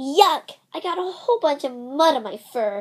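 A woman's high-pitched, put-on character voice at a moderate pace. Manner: disgusted.

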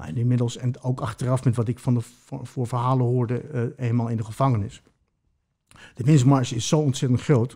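A man talks at a fairly quick pace in a medium-pitched, somewhat breathy voice with a dark, mellow tone and fairly even intonation, against a quiet background. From Mexico and Colombia, later Netherlands. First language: Spanish (speaking Dutch). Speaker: former prisoner, musician; interview guest. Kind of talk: personal testimony interview. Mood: calm, reflective storytelling. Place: home room. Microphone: studio mic.

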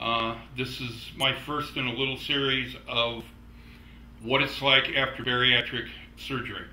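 Audible room echo hangs around this man's speech. His intonation stays fairly even. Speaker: personal vlogger. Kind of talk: casual vlog chat. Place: home room. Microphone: camera far.

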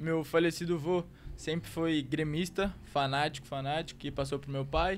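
A man with a fairly high pitch speaks at a moderate pace with fairly even intonation over light background noise. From Rio Grande do Sul, Brazil (Santo Antônio da Patrulha); Rio Grande do Sul, Brazil. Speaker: footballer; guest. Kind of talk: casual chat. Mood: relaxed, warm storytelling. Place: studio. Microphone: studio mic.

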